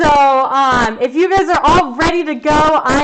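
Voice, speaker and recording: A woman speaks loudly in an animated tone. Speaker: art teacher. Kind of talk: live online art class.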